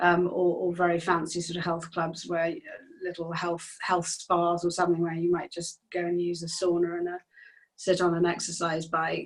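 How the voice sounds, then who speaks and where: A woman at a fairly low pitch and a moderate pace. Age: 60s. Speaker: singer-songwriter. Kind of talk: interview. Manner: halting.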